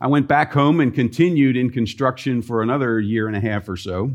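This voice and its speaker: In a normal speaking voice, a man with an American accent talks at a medium pitch with ordinary pitch variation and a moderate pace. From US Mid-Atlantic (Columbia, Maryland). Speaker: mission finance director, former IT professional. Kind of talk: chapel talk. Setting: college chapel with audience.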